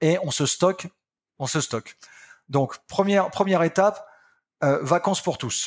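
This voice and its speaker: Fairly slow speech from a man, the pitch shifting in an ordinary way. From France, Picardy. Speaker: company founder and boss. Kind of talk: interview.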